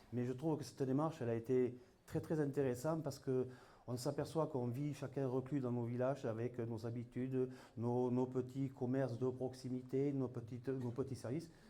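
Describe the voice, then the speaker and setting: A man of medium pitch and a dark, mellow tone speaks at a fairly quick pace in a flat monotone. Audible room echo surrounds his voice. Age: 60s. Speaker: municipal election candidate. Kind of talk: campaign speech. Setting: public hall meeting.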